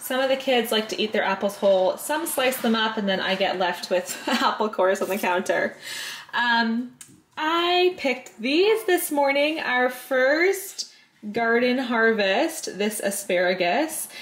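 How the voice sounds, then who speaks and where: A high-pitched woman speaks at a fairly slow pace, her pitch swinging very widely. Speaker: vlogger. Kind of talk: casual vlog chat. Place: kitchen. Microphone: phone near.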